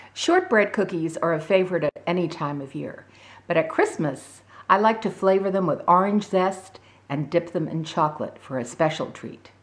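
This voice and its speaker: A woman at medium pitch and moderate pace, ordinary pitch variation and big swings in loudness, against noticeable background noise. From Scotland. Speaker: home cook. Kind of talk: cooking demonstration.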